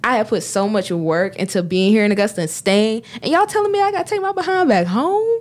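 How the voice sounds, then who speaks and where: A woman with a Southern US accent talks at a very fast pace with hardly any pauses. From US South, south Georgia. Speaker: student commencement speaker. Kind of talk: casual chat.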